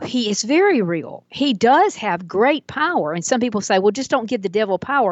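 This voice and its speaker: This woman's voice swings very widely in pitch. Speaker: author, speaker and church musician. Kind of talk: casual chat.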